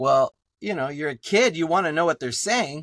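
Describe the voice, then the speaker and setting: A man with a South Texas accent, on a very clean recording with a silent background and a dry, close sound with no echo. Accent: South Texas Mexican-American English. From Texas border, Laredo. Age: 60s. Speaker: professor and artist. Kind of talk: podcast interview. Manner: animated, many fillers.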